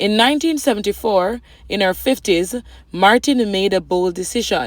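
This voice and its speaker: A plain, everyday voice from a woman at a moderate pace, with ordinary pitch variation and a very clean recording over a silent background. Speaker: news reporter. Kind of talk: TV news feature narration.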